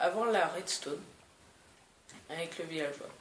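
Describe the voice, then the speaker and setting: Audible room echo surrounds a woman who speaks at a very slow pace with lively intonation. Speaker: gaming youtuber. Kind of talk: gameplay commentary. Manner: hesitant, many fillers.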